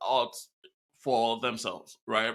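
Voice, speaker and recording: The voice carries a Nigerian accent and a bright, sharp tone. The pace is fairly slow. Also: man. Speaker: podcast host. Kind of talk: interview.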